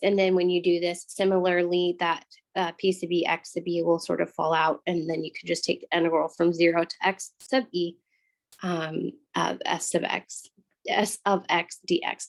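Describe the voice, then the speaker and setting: A woman uses a put-on character voice that is raspy and fairly low, with monotone, flat intonation at a moderate pace. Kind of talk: lecturing. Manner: talking really fast.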